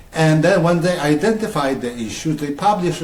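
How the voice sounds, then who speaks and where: There is audible room echo as a man speaks at a moderate pace with a Polish accent. His pitch is fairly high, with ordinary variation. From Poland. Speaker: writer. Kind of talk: interview. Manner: halting.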